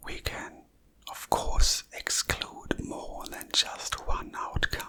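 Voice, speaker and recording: The words come as a whisper, very slowly. Noticeable noise fills the background. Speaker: maths teacher / educator. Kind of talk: educational math lesson, ASMR. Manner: whispered, soft-spoken, slow.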